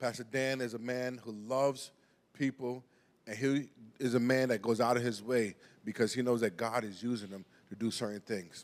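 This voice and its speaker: With a New York accent, a man talks at a moderate pace, his medium pitch following fairly even intonation. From New York (Brooklyn). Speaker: pastor. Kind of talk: sermon. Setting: church. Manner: halting.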